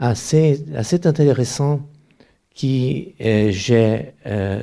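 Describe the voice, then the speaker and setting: In a very clean recording with a silent background, a man's dark, mellow tone carries lively intonation. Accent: Brazilian. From Brazil. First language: Portuguese (speaking French). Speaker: anthropology professor, author. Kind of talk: panel discussion. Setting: bookshop event with audience. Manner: halting, repetitive stumbling.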